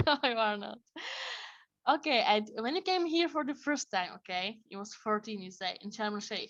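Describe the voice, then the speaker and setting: A woman's fairly high voice at a moderate pace, with very wide pitch swings and big swings in loudness, over a quiet background. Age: 20s. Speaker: podcast host. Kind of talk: podcast interview.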